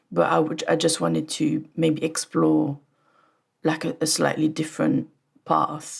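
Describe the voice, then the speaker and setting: A woman is speaking. She has a French accent. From France. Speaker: audio engineer. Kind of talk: casual interview chat.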